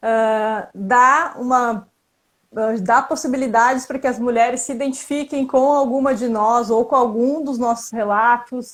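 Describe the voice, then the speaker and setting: A woman's high-pitched voice, fairly slow and with fairly even intonation. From Brazil, Porto Alegre, Rio Grande do Sul. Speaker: Instagram group member co-hosting live. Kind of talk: casual live-stream chat.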